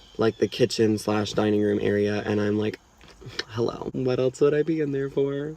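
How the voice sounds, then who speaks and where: Noticeable background noise runs behind a man. He talks at a moderate pace with ordinary pitch variation. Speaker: vlogger. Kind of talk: casual storytelling vlog. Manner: casual, filler-heavy.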